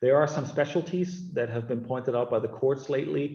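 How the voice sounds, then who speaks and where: Over background music, a man with a German accent speaks with ordinary pitch variation. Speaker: sports lawyer. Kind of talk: webinar interview. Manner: halting, many fillers.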